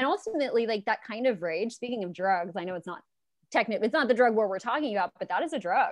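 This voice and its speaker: Speaking at a very fast pace, a woman with an American accent uses lively intonation at a fairly high pitch. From Los Angeles, California. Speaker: libertarian activist. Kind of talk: casual interview chat.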